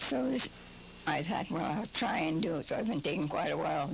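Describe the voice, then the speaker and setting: A woman speaks at a fairly quick pace with lively intonation over noticeable background noise. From Cornwall, England; Upper Michigan. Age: 80s+. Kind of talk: interview answer.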